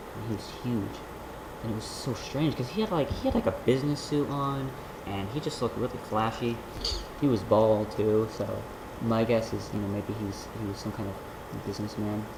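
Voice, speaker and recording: Soft-spoken, a man talks at a moderate pace with ordinary pitch variation. Noticeable background noise is present. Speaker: college student; vlogger. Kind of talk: casual talk to camera. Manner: soft-spoken, quiet. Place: home room. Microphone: webcam.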